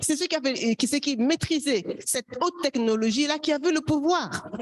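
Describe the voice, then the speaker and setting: Noticeable background noise surrounds a woman whose high pitch rides a lively intonation. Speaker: academic panelist. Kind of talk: panel discussion. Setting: conference panel. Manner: hesitant, many fillers; hurried.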